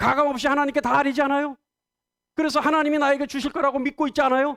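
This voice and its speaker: Dry and close with no echo, a man's animated voice sits at an extremely high pitch, racing at a very fast pace with very even loudness. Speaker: pastor. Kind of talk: sermon. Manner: fast when excited.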